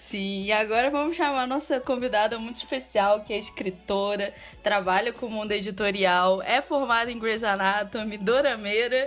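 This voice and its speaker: Music plays behind a woman who speaks at a moderate pace with a fairly high pitch and hardly any pauses. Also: ordinary pitch variation. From Rio de Janeiro, Brazil. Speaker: podcast host. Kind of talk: casual podcast chat.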